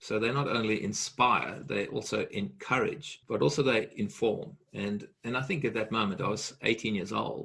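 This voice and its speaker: Vocal fry runs through a man's bright, sharp, medium-pitched voice as he speaks with lively intonation. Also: moderate pace. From South Africa (Johannesburg). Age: 60s. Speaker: leadership coach and speaker. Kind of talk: podcast interview.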